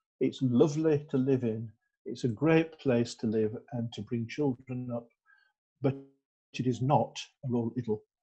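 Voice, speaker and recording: A man with a dark, mellow, somewhat breathy tone speaks with fairly even intonation and long, frequent pauses. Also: medium pitch for a man, moderate pace. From northern England, North Yorkshire (Skipton). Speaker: Methodist minister. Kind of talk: interview. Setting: church. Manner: halting, many fillers and repeats.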